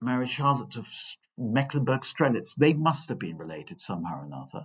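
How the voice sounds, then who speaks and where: Vocal fry runs through this man's voice as he speaks at a moderate pace. His pitch swings very widely. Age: 60s. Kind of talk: parish talk with questions. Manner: hesitant, repetitive.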